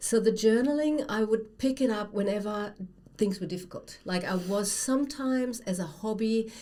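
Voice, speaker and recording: Speaking at a moderate pace with a German accent, a woman has a dark, mellow tone and ordinary pitch variation. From Germany. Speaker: writer and former academic. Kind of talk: casual chat.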